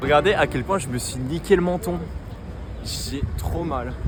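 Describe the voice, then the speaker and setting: Over noticeable background noise, a man talks with lively intonation. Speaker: vlogger, language student. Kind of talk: casual vlog. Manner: loud.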